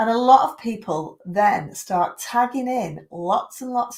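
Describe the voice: A woman speaks at a slow pace. Her pitch shows ordinary variation.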